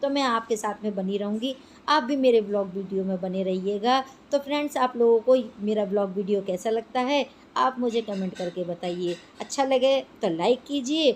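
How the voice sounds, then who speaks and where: Ordinary pitch variation runs through a woman's fairly high voice. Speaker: homemaker vlogger. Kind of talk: casual vlog narration. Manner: chatty.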